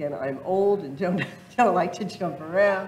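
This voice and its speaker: In a fairly low voice, a woman talks at a moderate pace with ordinary pitch variation. Audible room echo is present. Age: 60s. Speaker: state first lady demonstrating an online system. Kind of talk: live software demonstration at a public event. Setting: public library event with audience.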